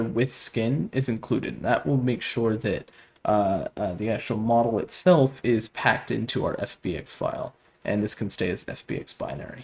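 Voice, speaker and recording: A man with vocal fry and lively intonation at a moderate pace. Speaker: game development tutorial youtuber. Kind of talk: tutorial. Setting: new studio apartment with echo. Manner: many filler words and hesitations. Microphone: low mic quality, echo in new room.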